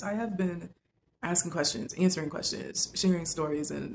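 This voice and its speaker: Soft-spoken and somewhat breathy, a woman with a fairly low pitch talks at a moderate pace with ordinary pitch variation. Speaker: lifestyle vlogger. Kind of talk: casual monologue to camera.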